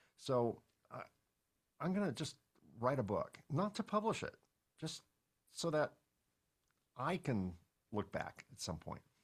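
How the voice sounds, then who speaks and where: Fairly high-pitched and with vocal fry, a man speaks fairly slowly with very wide pitch swings and long, frequent pauses. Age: 60s. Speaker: entrepreneur and podcast host. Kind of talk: interview conversation. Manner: casual, conversational with filler words.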